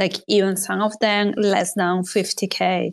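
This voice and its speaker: The woman's voice sits at a medium pitch. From Spain. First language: Spanish. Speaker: podcast co-host, artist and illustrator. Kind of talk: casual chat. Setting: live audio space online.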